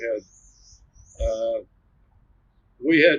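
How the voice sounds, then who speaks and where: A man speaks at a very slow pace. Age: 80s+. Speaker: retired record company employee; war veteran. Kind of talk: interview answer.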